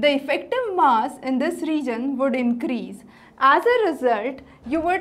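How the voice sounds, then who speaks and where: This woman's high voice carries lively intonation at a moderate pace. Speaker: teacher. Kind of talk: lecture. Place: studio. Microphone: lapel.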